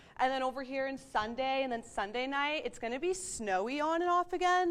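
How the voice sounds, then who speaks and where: A woman with an American accent, upbeat and energetic, at a fairly quick pace against a quiet background. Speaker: student broadcast journalist and weather presenter. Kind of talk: weather forecast segment. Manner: upbeat, casual, energetic.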